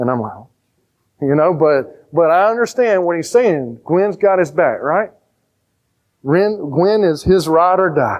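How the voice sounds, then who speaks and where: Speaking in a Southern US accent, a man has a high pitch, an animated tone and lively intonation. He talks at a fairly slow pace with long, frequent pauses. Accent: Southern country twang. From rural Georgia, US South. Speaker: pastor. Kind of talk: sermon. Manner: animated, conversational.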